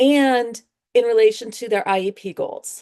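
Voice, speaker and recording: A woman's unremarkable speaking voice, fairly high in pitch and fairly slow, over a quiet background. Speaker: education researcher presenter. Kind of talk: presentation to work group.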